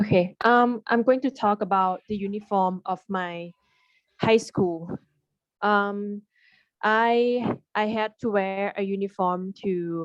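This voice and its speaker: In a quiet background with a dry, close sound and no echo, a woman with a Thai accent speaks very slowly at a medium pitch with fairly even intonation. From Thailand. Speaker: landscape architect. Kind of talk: exam interview answer.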